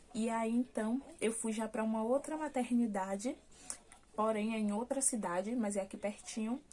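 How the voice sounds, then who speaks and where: Her tone dark and mellow, a woman speaks in a fairly high, somewhat breathy voice with fairly even intonation. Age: 20s. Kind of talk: casual talk to camera, personal birth story.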